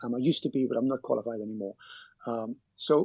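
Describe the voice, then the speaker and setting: Here a man talks with a British accent. His pace is fairly quick. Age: 50s. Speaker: cab driver and personal finance blogger. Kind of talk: podcast interview. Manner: halting, with many repetitions.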